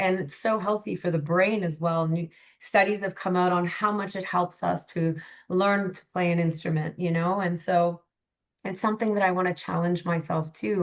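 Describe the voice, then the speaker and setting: In an unremarkable speaking voice, a woman talks with a Canadian accent. Her pitch is medium, her intonation fairly even and her pace moderate. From Canada. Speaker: life coach. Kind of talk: podcast interview.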